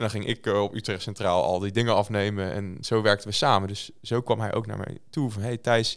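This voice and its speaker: In a very clean recording with a silent background, a man speaks at a fairly quick pace with a fairly low pitch and fairly even intonation. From South Holland, Netherlands (Moordrecht). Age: 30s. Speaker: tech entrepreneur and investor. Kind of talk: interview. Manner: hesitant, many filler sounds.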